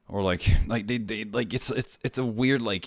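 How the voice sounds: Ordinary pitch variation runs through speech that keeps a moderate pace. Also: man, fairly low pitch for a man.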